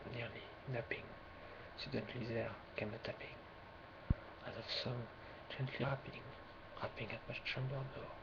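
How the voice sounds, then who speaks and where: A man with a French accent speaks in a medium pitch with monotone, flat intonation and long, frequent pauses. Noticeable background noise sits behind him. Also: moderate pace. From France. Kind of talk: ASMR poetry reading. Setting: webcam recording, low quality.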